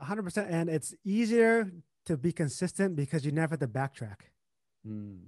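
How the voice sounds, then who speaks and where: A man with a Vietnamese accent swings his pitch very widely in a dry, close sound with no echo. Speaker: entrepreneur and investor. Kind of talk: casual interview.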